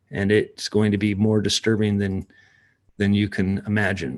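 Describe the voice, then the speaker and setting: Against a quiet background, a man speaks at a moderate pace with a fairly low pitch. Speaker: ministry leader hosting a livestream. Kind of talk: live-stream talk reading chat comments. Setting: at home, partner asleep upstairs. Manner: talking quietly; hesitant, many fillers.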